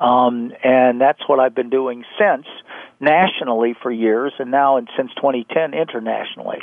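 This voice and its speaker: The speaker is a man with a medium-pitched voice. His pace is moderate. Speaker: lawyer and consumer advocate. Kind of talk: radio interview. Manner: passionate, animated.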